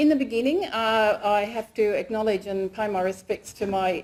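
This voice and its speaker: Dark, mellow tone at a moderate pace, with an Australian accent. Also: woman. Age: 60s. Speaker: PhD candidate and lecturer. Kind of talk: research presentation. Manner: casual, self-deprecating with fillers.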